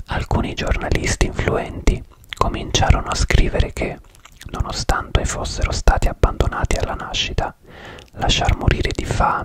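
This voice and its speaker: Soft-spoken and whispering, a man talks at a moderate pace. The sound is dry with no echo, and there is loud background noise. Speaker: true crime narrator. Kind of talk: true crime storytelling narration. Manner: close-up ASMR whisper, soft and intimate. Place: home room. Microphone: studio mic.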